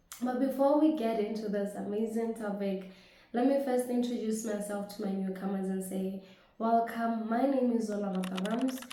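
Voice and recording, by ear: A woman speaks at a moderate pace and medium pitch with ordinary pitch variation, her tone dark and mellow, amid strong room echo.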